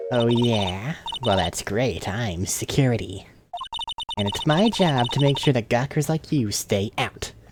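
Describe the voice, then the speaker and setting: Putting on a character voice, a man speaks fairly slowly at a medium pitch with lively intonation. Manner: gruff, authoritative.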